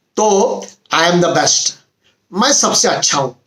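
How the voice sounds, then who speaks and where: The speaker is a man. His pitch is high. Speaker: motivational YouTuber. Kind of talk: motivational talk. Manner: hesitant fillers, conversational.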